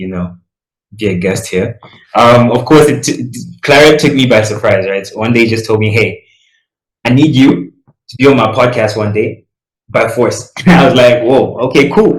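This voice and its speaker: The man's voice is somewhat breathy and medium in pitch. He keeps a moderate pace, with ordinary pitch variation. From Malawi. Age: young. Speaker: recent high school graduate on gap year. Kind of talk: podcast interview. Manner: casual, many fillers.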